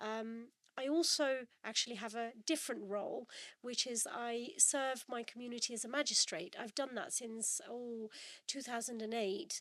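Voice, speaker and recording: Her voice high, a woman speaks at a moderate pace with ordinary pitch variation. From Birmingham, England. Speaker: parliamentary candidate. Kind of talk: podcast interview. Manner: hesitant, many fillers.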